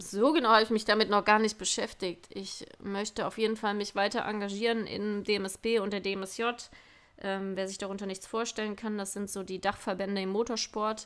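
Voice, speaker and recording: A woman speaks at a moderate pace and a medium pitch, her intonation flat and monotone. The recording is very clean, with a silent background. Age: 20s. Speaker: podcast host, motocross racer and police officer. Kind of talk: interview answers. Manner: casual, chatty.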